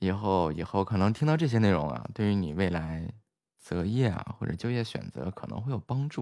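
A man speaks at a fairly quick pace and a fairly low pitch with lively intonation. The recording is very clean, with a silent background. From Inner Mongolia (Baotou). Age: young. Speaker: livestream host and designer. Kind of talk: casual chat. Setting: livestream voice connection. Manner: friendly, chatty.

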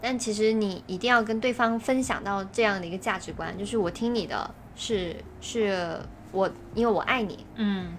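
Here is an unremarkable speaking voice at a moderate pace with fairly even intonation. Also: woman. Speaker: podcast co-host. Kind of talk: casual chat.

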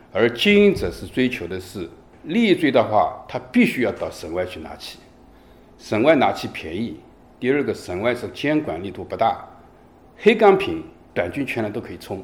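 This man's volume rises and falls in big swings. He keeps a moderate pace. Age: 50s. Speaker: city law enforcement squad leader. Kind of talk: interview.

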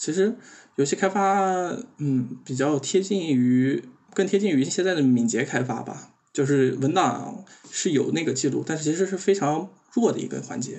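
A man's fairly high pitch and lively intonation come through an unremarkable speaking voice at a moderate pace. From Xinjiang, China. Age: 20s. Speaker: game developer. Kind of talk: casual chat.

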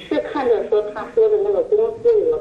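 A woman speaking at a moderate pace over noticeable background noise. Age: 60s. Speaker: fraud victim, retiree. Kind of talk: interview. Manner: hesitant, many fillers.

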